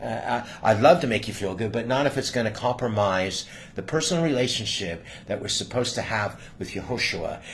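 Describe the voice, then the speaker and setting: A man with a medium-pitched voice talks at a fairly quick pace with lively intonation over noticeable background noise. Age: 60s. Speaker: channel owner, faith teacher. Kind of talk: casual faith conversation. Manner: halting, many repeated words.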